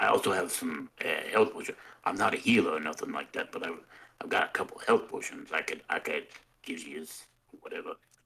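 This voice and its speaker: A man puts on a raspy character voice, talking at a fairly quick pace with long, frequent pauses. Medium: actual play. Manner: rambling, casual.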